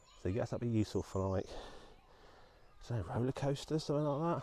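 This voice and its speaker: A man whispers quietly. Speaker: vlogger. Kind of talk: casual vlog narration. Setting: outdoors, walking by a reservoir. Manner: quiet, almost whispering.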